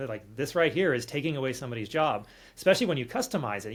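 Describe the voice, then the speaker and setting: Very fast and somewhat breathy, a man with an American accent swings very widely in pitch on a very clean recording with a silent background. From California. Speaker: automation developer. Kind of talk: tutorial walkthrough.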